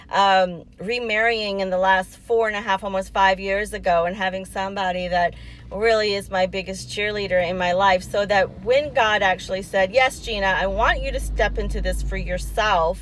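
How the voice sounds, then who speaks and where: The delivery is animated, at a moderate pace with hardly any pauses. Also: woman. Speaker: women's empowerment coach and livestream host. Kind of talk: motivational livestream talk. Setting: parked car.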